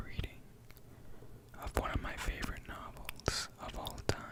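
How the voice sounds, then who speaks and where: The speech is whispered. Background noise can be noticeably heard. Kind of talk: casual talk to camera. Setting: close-up microphone. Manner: whispered, soft-spoken.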